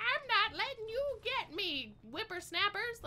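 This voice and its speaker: A woman uses a put-on character voice pitched extremely high. She speaks at a fairly slow pace. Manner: scolding, indignant.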